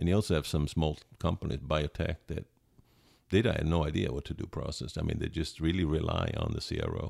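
A man's very deep, low voice with an Italian accent, ordinary pitch variation and a fairly quick pace, in a dry, close sound with no echo. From Italy. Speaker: chemist. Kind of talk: casual interview. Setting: on vacation in Palm Springs.

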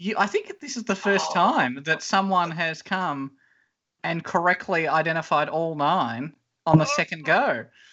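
A man with a high pitch, ordinary pitch variation and a moderate pace. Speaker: rotating podcast host. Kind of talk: casual game-show banter.

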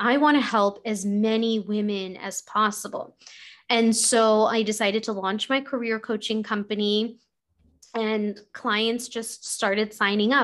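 A woman with an unremarkable speaking voice talks at a fairly slow pace in a fairly high pitch, with an American accent. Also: very clean recording, silent background. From New York City. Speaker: executive coach. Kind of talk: interview.

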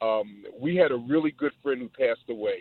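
A man speaks at a medium pitch and a moderate pace, with ordinary pitch variation. His is a plain, everyday voice. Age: 60s. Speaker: radio caller. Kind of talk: call-in comment. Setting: phone call.

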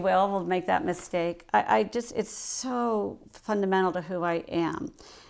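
On a very clean recording with a silent background, a woman with an American accent speaks at a fairly slow pace and fairly low pitch in a normal speaking voice. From northern Ohio, US Midwest (Coshocton). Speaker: leadership consultant, former mayor. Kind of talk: casual interview chat.

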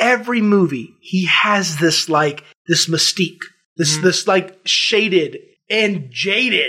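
A man with a high voice and a bright, sharp tone is speaking. His voice is raised and projected, and his intonation is lively. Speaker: podcast co-host. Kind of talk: casual chat. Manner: animated.

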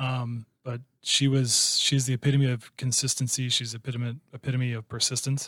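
A man talks in a monotone, flat way at a medium pitch. His tone is bright and sharp. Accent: Midwestern American. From southwest Iowa. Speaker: sales manager and real estate investor. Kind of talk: casual interview.

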